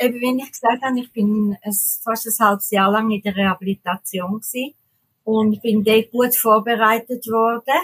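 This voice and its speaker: At a moderate pace, a woman speaks with a somewhat breathy, fairly high voice and fairly even intonation, the sound dry and close with no echo. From Switzerland. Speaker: mouth painter, tetraplegic artist. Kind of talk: interview.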